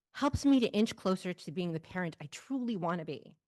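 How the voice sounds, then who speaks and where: A plain, everyday voice moves at a fairly quick pace with lively intonation. The background is quiet. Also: woman. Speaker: family support specialist and adoptive mother. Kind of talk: personal storytelling on stage.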